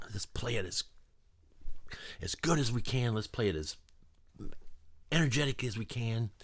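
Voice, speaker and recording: On a very clean recording with a silent background, a man speaks at a moderate pace in an animated tone with lively intonation. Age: 60s. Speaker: musician. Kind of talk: interview. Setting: recording studio.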